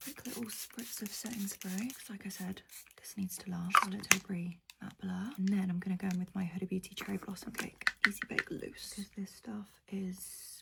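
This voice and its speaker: A quiet woman at medium pitch speaks at a moderate pace with fairly even intonation and big swings in loudness, over noticeable background noise. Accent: British. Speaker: beauty vlogger. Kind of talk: get ready with me makeup chat. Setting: at home early morning, others asleep next door. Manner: talking quietly.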